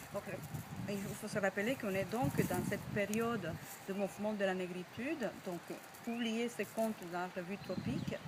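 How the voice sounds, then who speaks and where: A woman talks at a moderate pace with a medium pitch. Her pitch variation is ordinary, and noticeable background noise is present. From Cuba. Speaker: storyteller. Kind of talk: project presentation to camera.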